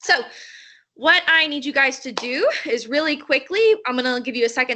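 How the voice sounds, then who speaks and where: Projecting her voice, a woman speaks at a moderate pace with a high pitch, a bright, sharp tone, and ordinary pitch variation. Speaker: teacher. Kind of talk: online lesson. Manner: animated.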